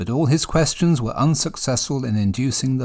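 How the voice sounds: This is a natural reading voice. Nothing else marks the clip.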